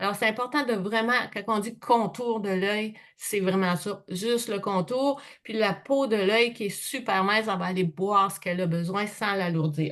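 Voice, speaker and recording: At a medium pitch, a woman talks fairly slowly with ordinary pitch variation. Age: 60s. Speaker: skincare sales consultant. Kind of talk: product presentation. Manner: casual, chatty.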